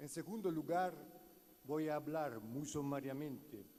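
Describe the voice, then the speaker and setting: The speaker has an Italian accent and a dark, mellow tone. Delivery is fairly slow, with ordinary pitch variation. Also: man. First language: Italian (speaking Spanish). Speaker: law professor. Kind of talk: conference lecture read aloud. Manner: halting.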